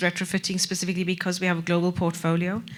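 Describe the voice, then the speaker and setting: Here a woman speaks in a fairly low pitch with a South African accent. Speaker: corporate sustainability director. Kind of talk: panel discussion.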